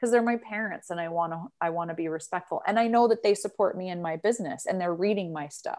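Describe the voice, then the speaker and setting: A woman with a Western US accent speaks at a fairly quick pace. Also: big swings in loudness. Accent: General American (Western US). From Utah, US. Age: 40s. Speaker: resilience coach. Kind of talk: casual interview. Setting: video call.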